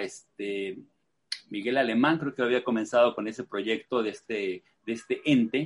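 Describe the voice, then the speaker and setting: A man speaks at a fairly slow pace in a plain, everyday voice. His pitch varies in an ordinary way. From Mexico City. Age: 60s. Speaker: event stand builder. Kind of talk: interview.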